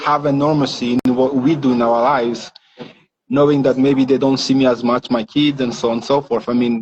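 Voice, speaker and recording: Here a man talks at a fairly quick pace in a French accent. His intonation is monotone and flat, and his loudness stays very even. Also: medium pitch for a man. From Rwanda (born in DR Congo). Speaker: tech entrepreneur, founder. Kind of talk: interview. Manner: halting, repeats words.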